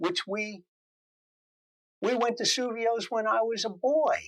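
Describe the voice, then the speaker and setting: A man's raised, projected voice with an American accent, extremely high in pitch and bright and sharp in tone. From US Northeast, New Jersey (Morristown). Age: 70s. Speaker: interviewee, longtime local resident. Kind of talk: interview.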